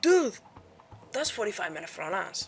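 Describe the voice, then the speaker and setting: With a Spanish accent, a woman speaks in an animated tone. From Spain. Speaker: YouTuber. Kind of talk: casual storytelling vlog. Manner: casual, animated.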